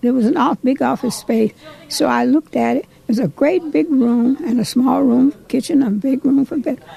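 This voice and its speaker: Over noticeable background noise, a high-pitched woman with an American accent speaks at a fairly quick pace with lively intonation in a dry, close sound with no echo. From Ohio. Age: 80s+. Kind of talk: interview answer.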